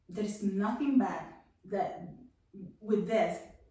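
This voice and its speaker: A woman talks with lively intonation, and audible room echo hangs around her voice. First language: Spanish. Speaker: testimony guest. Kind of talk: testimony. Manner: halting.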